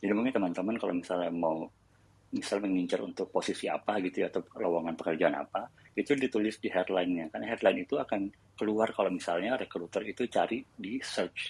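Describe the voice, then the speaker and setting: A man rattles off words very fast, his fairly low pitch moving with ordinary variation. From Indonesia. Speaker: tech company employee sharing career advice. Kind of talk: casual panel discussion on audio chat room. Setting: online audio chat room.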